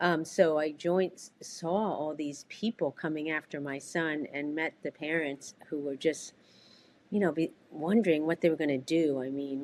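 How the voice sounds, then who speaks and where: A woman with a very deep, low voice speaks at a moderate pace, her intonation fairly even and her loudness swinging widely. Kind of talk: interview. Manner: soft-spoken; halting, many fillers.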